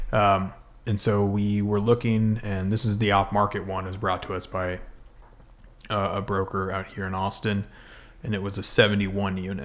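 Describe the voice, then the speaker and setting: A man with an American accent speaks at a moderate pace in a fairly low pitch, his intonation monotone and flat. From Colorado, US. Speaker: real estate investor. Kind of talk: casual interview. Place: meeting room. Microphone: studio mic.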